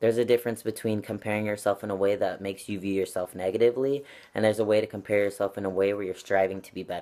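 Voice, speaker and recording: A man speaks at a very fast pace with a fairly low pitch and a monotone, flat intonation. The recording is very clean, with a silent background. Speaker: vlogger. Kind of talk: vlog monologue. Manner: casual with frequent fillers.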